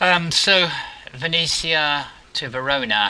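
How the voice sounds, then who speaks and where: Against noticeable background noise, a man speaks with an English accent. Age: 70s. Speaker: gaming video creator. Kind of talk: gameplay commentary. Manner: casual, hesitant with many ums.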